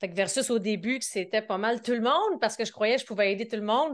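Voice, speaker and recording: A woman speaks in a Quebec accent at a fairly high pitch. Her pitch variation is ordinary, and the background is quiet. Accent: Québécois. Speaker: business coach. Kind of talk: podcast interview.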